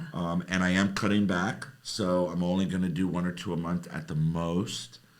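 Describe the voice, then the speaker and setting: With an American accent, a man speaks at a very deep, low pitch and with fairly even intonation, and the room echo is audible. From South Florida. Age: 60s. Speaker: social media personality, podcast guest. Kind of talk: casual chat. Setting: podcast studio.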